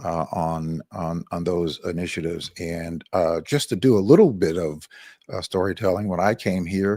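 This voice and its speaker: A man's very deep, low voice with a dark, mellow tone and an American accent, at a moderate pace on a very clean recording with a silent background. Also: ordinary pitch variation. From Miami, Florida. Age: 60s. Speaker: radio talk show host. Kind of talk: talk show interview. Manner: hesitant, many fillers.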